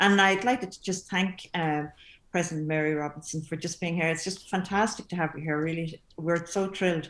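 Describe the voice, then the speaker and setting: A woman with a Limerick accent speaks at a moderate pace with a fairly low pitch. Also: fairly even intonation. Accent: Irish, Limerick. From Limerick, Ireland. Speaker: composer. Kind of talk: panel discussion. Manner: halting.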